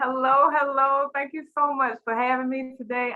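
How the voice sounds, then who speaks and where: Speaking at a moderate pace, a woman talks with a strong Southern US accent. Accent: very strong Southern country twang. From US South. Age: 40s. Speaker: teacher and school coach. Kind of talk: panel introduction.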